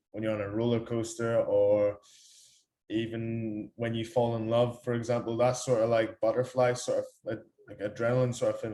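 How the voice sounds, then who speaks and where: This man talks at a fairly quick pace in an Irish accent. His tone is dark and mellow. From Ireland. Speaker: fitness coach. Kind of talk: lecture. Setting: talk to company staff. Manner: hesitant, many fillers.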